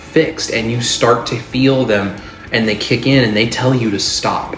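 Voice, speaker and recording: Clear music plays behind a man who speaks at a moderate pace, with audible room echo around his voice. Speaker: diet vlogger. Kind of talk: casual vlog chat. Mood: earnest, animated. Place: kitchen.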